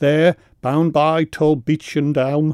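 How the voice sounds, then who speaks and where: A man's fairly high, dark, mellow voice with a Manx accent, dry and close with no echo, in a very clean recording with a silent background. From Isle of Man. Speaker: poet. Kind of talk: poetry reading; radio interview. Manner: halting.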